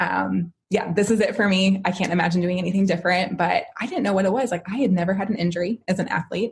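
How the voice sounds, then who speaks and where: This woman speaks very fast in an American accent, with hardly any pauses and fairly even intonation. Her medium-pitched voice is somewhat breathy. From US Midwest, Chicago. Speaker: physical therapist. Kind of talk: casual interview chat.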